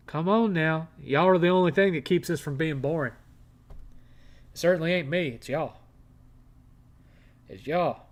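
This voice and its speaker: A man with an American accent talks at a fairly high pitch and moderate pace, with ordinary pitch variation. He leaves long, frequent pauses, and the recording is very clean with a silent background. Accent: redneck. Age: 50s. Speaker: live streamer. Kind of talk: casual chat. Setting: live stream.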